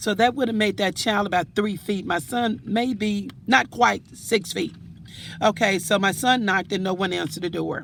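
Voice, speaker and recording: The woman's medium-pitched voice carries vocal fry, moving at a moderate pace with ordinary pitch variation. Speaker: vlogger. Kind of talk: casual monologue. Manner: halting.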